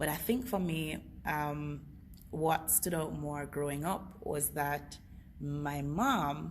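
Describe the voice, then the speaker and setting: A woman speaks with audible room echo. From Jamaica, Kingston. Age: 20s. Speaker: network marketing director. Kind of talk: testimony; sales pitch. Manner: enthusiastic.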